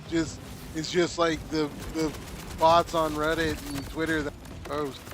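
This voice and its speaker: Through noticeable background noise, a man speaks at a fairly slow pace with a fairly high pitch and monotone, flat intonation. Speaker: gaming streamer. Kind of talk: casual chat. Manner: loud.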